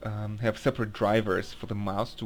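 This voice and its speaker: Speaking at a moderate pace, a man with a non-native accent has a fairly low pitch. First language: not English. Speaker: gaming video reviewer. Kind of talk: casual game review monologue. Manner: halting, many fillers and restarts.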